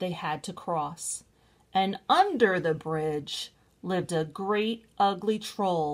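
Pitch varies in an ordinary way as someone is reading aloud in a natural voice.

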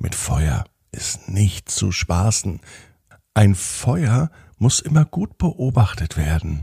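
Slow and dark with a mellow tone, the voice has a husky, rough edge, vocal fry and big pitch swings. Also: man, fairly low pitch for a man.

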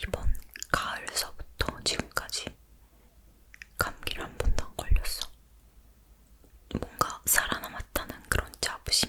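With noticeable background noise underneath, the whispering comes at a very slow pace. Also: woman. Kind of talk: ASMR whisper talk, casual chat about daily life. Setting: close-mic home recording in dim room. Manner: whispered, soft-spoken, intimate.

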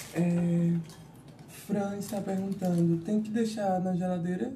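Very slow speech with hardly any pauses, ordinary pitch variation and noticeable background noise. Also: woman. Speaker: assistant reading viewer comments. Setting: live stream.

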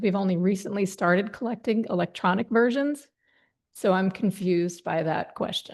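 The speaker talks at a moderate pace with ordinary pitch variation. The background is quiet. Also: woman. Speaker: planning board member. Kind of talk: public meeting discussion. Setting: town hall meeting room. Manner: loud.

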